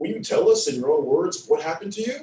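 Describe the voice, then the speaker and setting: A man does a put-on character voice at a very fast pace, with a slight echo. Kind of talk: courtroom speech. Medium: read story.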